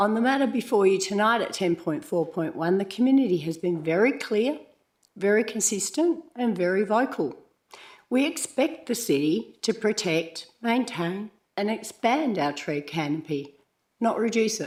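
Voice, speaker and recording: With an Australian accent, a woman with a fairly high pitch moves through very wide pitch swings at a moderate pace. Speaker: community member giving a deputation to council. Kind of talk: prepared public statement. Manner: formal.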